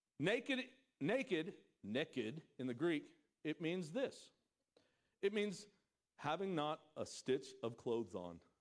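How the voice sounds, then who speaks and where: A man speaks loudly and slowly in a fairly high pitch, with long, frequent pauses, very wide pitch swings, an animated tone and vocal fry. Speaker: pastor. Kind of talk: sermon. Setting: church stage with congregation.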